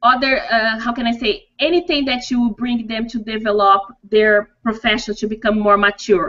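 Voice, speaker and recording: With a Portuguese accent, a woman talks at a moderate pace and a fairly high pitch, with hardly any pauses. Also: ordinary pitch variation. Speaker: dental hygienist and coach. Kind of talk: interview. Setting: video call. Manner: halting.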